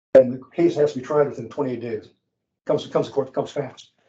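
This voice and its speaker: The voice has a dark, mellow tone and moves at a very fast pace. Audible room echo surrounds it. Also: man. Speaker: municipal judge giving a presentation. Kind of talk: lecture.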